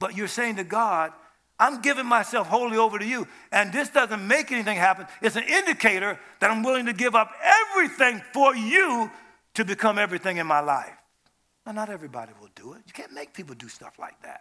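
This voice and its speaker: With a raised, projected voice, a man speaks at a high pitch in a bright, sharp tone. His pace is fairly quick, with lively intonation and big swings in loudness. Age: 70s. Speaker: preacher. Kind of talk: sermon. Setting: church. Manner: animated.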